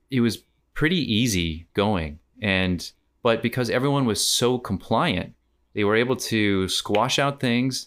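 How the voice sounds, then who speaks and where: With an American accent, this voice moves at a moderate pace with lively intonation. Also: man. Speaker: comedian and teacher. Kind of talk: casual chat. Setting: remote call across time zones.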